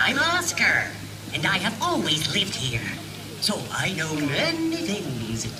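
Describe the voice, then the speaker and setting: A female-sounding, put-on character voice speaks at a medium pitch and fairly slow pace. Loud background noise runs underneath. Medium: stage play. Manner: mysterious.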